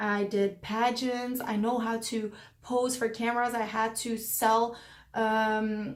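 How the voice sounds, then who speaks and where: A woman speaks at a high pitch with a non-native accent. Audible room echo surrounds her voice. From Belgium. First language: not English. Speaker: lifestyle vlogger. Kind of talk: casual Q&A vlog.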